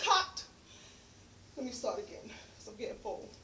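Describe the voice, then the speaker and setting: A bright, sharp voice with an American accent moves at a fairly slow pace amid audible room echo. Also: woman. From New York, Harlem. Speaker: poet and motivational speaker. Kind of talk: spoken word poetry performance; speech to audience.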